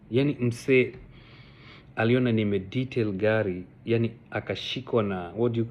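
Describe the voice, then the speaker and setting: The speaker has a Kenyan accent and fairly even intonation at a fairly slow pace. The background is quiet. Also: man. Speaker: vlogger. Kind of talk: casual personal storytelling vlog. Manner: code-switching Sheng and English, halting with fillers.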